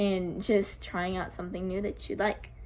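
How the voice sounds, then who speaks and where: A woman speaks in an American accent. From US Northeast, Connecticut. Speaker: vlogger. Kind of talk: casual Q&A vlog. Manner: hesitant, many fillers.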